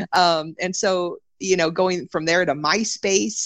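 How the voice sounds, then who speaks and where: A woman with an unremarkable speaking voice talks at a fairly low pitch with ordinary pitch variation. The sound is dry and close with no echo, over a quiet background. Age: 30s. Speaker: health and self-care coach, personal trainer. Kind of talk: interview conversation.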